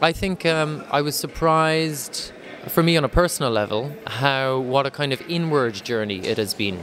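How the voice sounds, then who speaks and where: A man with an Irish accent talks at a moderate pace in a fairly high voice with lively intonation. Noticeable background noise is present. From west of Ireland. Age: 30s. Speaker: artist. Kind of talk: interview. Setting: art exhibition. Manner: halting, many fillers.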